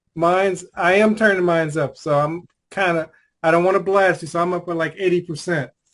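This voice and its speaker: A man speaks loudly at a fairly quick pace, his high voice keeping a fairly even intonation. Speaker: life coach and conversation host. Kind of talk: casual video call chat.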